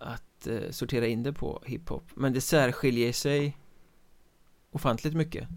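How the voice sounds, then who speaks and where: Fairly slow speech from a man at medium pitch, with fairly even intonation. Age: 30s. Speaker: podcast host. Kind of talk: casual chat.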